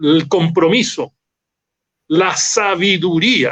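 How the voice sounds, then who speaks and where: This man's voice sits high in pitch. It rises and falls an ordinary amount. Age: 70s. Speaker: interview guest. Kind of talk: interview. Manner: emphatic, fluent.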